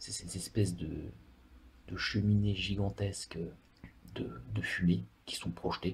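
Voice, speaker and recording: A man speaks very slowly with a very deep, low pitch and vocal fry. His pitch swings very widely, and he leaves long, frequent pauses. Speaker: ASMR creator. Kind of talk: ASMR travel talk about a country. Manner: whispered; hesitant, many filler words.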